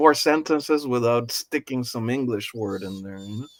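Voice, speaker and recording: A man speaks with an American accent at medium pitch. He has an ordinary speaking voice with ordinary pitch variation. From Nicaragua, raised in the US from age five. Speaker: podcast host. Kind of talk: casual chat.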